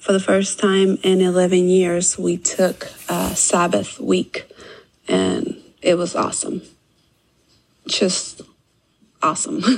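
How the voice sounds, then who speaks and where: Very slowly, a woman speaks with long, frequent pauses. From California. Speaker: listener, homeschooling mom. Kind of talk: recorded listener testimonial. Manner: hesitant, many fillers.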